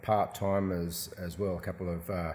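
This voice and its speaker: A man with a slight Australian accent. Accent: faint Australian. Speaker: shop owner. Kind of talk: casual interview. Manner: hesitant, many fillers.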